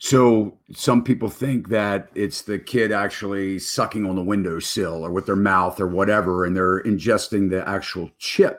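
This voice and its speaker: A man talks in an ordinary speaking voice, fairly low in pitch, with fairly even intonation. His pace is moderate, with hardly any pauses. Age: 50s. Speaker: real estate broker and show host. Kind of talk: live stream interview show. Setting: live stream.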